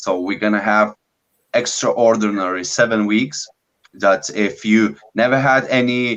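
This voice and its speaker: With a non-native accent, a man speaks at a fairly low pitch. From Lithuania. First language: Lithuanian. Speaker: business coach, bodybuilder. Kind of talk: online live masterclass. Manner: halting, many fillers.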